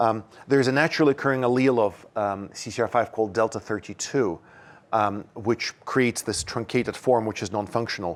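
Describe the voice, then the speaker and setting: Ordinary pitch variation runs through a man's medium-pitched voice. He speaks at a fairly quick pace. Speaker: scientist lecturer. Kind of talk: lecture. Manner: fast; halting, repeats words.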